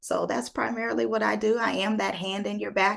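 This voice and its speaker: A woman speaks with an American accent. Her voice has vocal fry. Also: quiet background. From United States. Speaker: life coach and speaker. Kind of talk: interview answer. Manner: energetic, upbeat.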